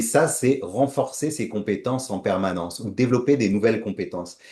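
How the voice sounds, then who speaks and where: A man's medium-pitched voice with ordinary pitch variation over a quiet background. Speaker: entrepreneur presenting his consulting business. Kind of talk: presentation with slides. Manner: hesitant, many fillers.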